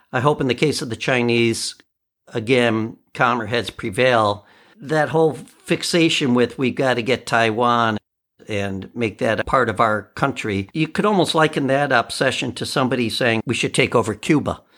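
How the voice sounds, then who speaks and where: A man talks at a moderate pace at medium pitch in a plain, everyday voice. The recording is very clean, with a silent background. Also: ordinary pitch variation. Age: 50s. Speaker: podcast host and musician. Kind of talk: casual solo commentary.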